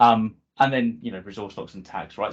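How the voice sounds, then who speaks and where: Speaking in a British accent, a man talks at a medium pitch and a fairly quick pace. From UK. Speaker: cloud solution architect. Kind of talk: technical presentation. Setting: video call. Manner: hesitant, many fillers.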